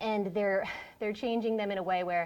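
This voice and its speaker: A woman at a medium pitch with ordinary pitch variation, on a very clean recording with a silent background. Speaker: librarian running a workshop. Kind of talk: workshop presentation. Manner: fast.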